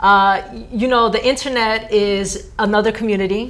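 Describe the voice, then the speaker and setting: A woman with an American accent speaks at medium pitch and a moderate pace, with fairly even intonation and audible room echo. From New Jersey. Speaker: theater teaching artist. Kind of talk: TV interview.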